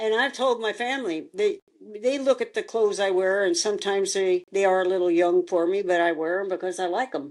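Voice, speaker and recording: A woman with an American accent at a medium pitch, fairly quick and with hardly any pauses, ordinary pitch variation, against a quiet background. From US Midwest. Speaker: podcast guest, host's sister. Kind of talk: casual chat.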